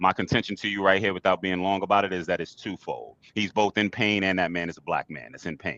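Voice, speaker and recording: A man speaks very fast, with hardly any pauses and fairly even intonation. His very deep, low voice carries vocal fry. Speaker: podcast host. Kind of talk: heated debate.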